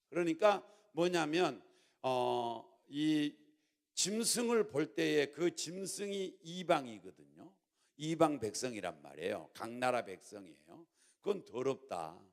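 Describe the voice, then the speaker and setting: At a very slow pace, a man talks in a fairly high pitch. His voice moves through very wide pitch swings. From Jeolla, South Korea. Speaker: pastor. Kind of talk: sermon. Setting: church.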